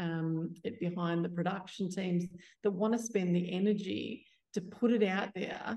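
With an Australian accent, this voice has a dark, mellow tone, sounds somewhat breathy, and moves at a moderate pace with fairly even intonation. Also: woman. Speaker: community theatre founder. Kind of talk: panel discussion.

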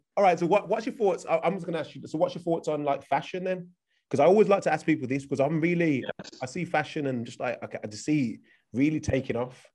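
A man talks very fast with an English accent at a fairly high pitch, his intonation lively and his loudness swinging widely. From England. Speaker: podcast host. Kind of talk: interview.

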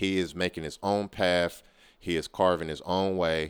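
In an American accent, a man with a very deep, low pitch speaks at a moderate pace in a monotone, flat intonation, on a very clean recording with a silent background. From Oakland, California. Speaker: podcast host. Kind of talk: casual music show hosting.

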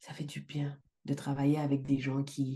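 With a dark, mellow tone and a very deep, low pitch, a woman speaks in a monotone, flat way at a fairly slow pace. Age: 40s. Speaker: life coach and entrepreneur. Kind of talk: casual interview.

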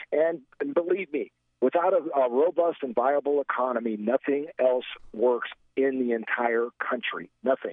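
A normal speaking voice from a man with an American accent, fairly high in pitch, with a moderate pace and ordinary pitch variation. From US Midwest, Gary, Indiana. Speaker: political commentator. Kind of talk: political talk radio chat.

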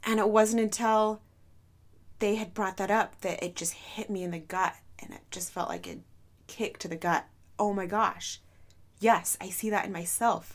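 A woman at a medium pitch with fairly even intonation, big swings in loudness and long, frequent pauses, on a very clean recording with a silent background. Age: 30s. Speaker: podcast host. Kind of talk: personal monologue. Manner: slow, with pauses; unscripted.

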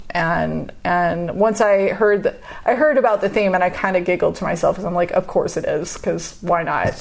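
A woman speaks at a fairly quick pace. Noticeable background noise can be heard. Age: 40s. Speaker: artist. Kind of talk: interview.

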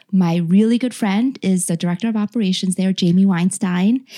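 Dry and close with no echo, a woman's voice sits at medium pitch with a dark, mellow tone. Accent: General American. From New Jersey, US. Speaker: healthcare worker. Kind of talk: casual interview chat.

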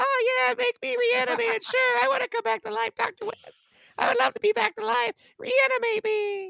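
An acted character voice, pitched extremely high, at a middling speed. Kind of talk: put-on fake voice. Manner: mock eager.

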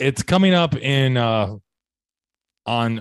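Using lively intonation, a man speaks at a medium pitch. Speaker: podcast co-host and comedian. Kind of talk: casual chat.

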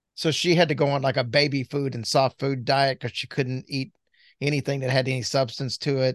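The delivery is fairly quick and monotone, with flat intonation, a dry, close sound with no echo and a quiet background. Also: man, medium pitch for a man. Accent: American. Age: 50s. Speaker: podcast host, former stand-up comedian. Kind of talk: casual chat.

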